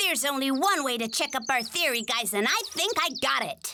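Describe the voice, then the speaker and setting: In a cartoonish character voice, a female-sounding speaker goes at a fairly quick pace with high pitch. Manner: fussy, excitable.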